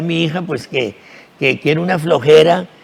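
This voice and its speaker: A man with a high voice keeps a moderate pace while noticeable background noise carries on around him. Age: 70s. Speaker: actor. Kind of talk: TV interview. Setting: TV studio. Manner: halting, repetitive.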